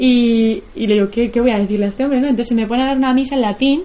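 Through noticeable background noise comes a woman's fairly high-pitched voice. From Basque Country, Spain (near Bilbao). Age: 20s. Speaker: bicycle traveller and filmmaker. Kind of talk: public talk. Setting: stage with audience. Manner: halting.

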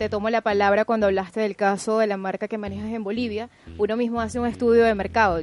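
A woman speaks with a fairly high pitch. Her pace is very fast. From Venezuela. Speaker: journalist and social media manager. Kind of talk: casual radio talk show.

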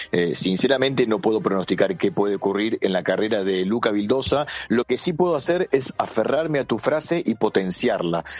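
A man talks fairly quickly with hardly any pauses, very wide pitch swings and very even loudness. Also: medium pitch for a man. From Argentina. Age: 40s. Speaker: basketball journalist and commentator. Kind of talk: interview. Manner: halting, frequent fillers and repeats.

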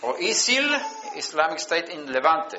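A man at a very slow pace with a Swedish accent, noticeable background noise and audible room echo. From Sweden. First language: Swedish (speaking Spanish). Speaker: preacher. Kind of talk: sermon.

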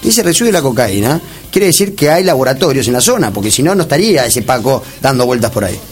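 Very wide pitch swings come at a very fast pace, with audible room echo and noticeable background noise. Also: man, medium pitch for a man. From Argentina, San Fernando (Buenos Aires). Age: 30s. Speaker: politician, candidate. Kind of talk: radio interview. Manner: halting with repetitions.

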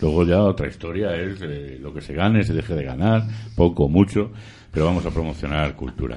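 A man with a very deep, low voice and some vocal fry talks at a fairly quick pace, his pitch varying in an ordinary way while his loudness swings widely. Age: 50s. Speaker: community radio host. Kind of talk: casual radio chat. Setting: radio studio, live broadcast.

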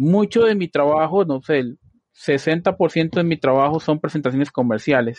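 A man at a fairly high pitch, fairly slow in pace, with ordinary pitch variation. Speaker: podcast host, IT production architect. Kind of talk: casual chat. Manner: frequent filler words.

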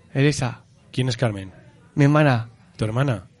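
At a moderate pace, a man speaks in an animated tone with lively intonation. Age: 40s. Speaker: radio host and psychologist. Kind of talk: casual group radio show.

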